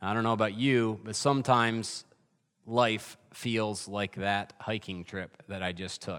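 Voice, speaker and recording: A man talks with an American accent at a fairly slow pace, in an ordinary speaking voice with ordinary pitch variation. The recording is very clean, with a silent background. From upstate New York (Adirondacks). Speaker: pastor. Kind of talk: sermon.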